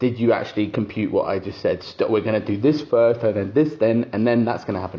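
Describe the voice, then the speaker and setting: Very fast delivery with ordinary pitch variation. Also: man, medium pitch for a man. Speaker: podcast co-host, teacher, father. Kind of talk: casual chat.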